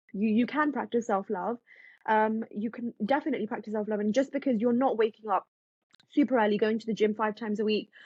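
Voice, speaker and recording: A woman with a British accent speaks at a very fast pace. Her voice is fairly high and somewhat breathy. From England. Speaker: self-help author and content creator. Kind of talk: podcast interview. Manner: animated.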